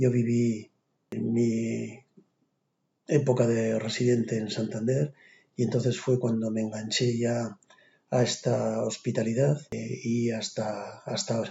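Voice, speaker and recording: A man speaks at a very slow pace in a medium pitch, his voice somewhat breathy and his intonation fairly even. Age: 60s. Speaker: physician. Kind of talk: lecture.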